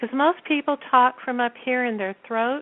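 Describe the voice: A soft-spoken woman talks at a moderate pace, her pitch high with ordinary variation.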